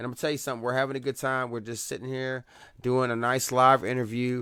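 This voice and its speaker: The speaker has a Southern US accent and an animated tone. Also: man. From US South. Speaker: radio host. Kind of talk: live radio interview.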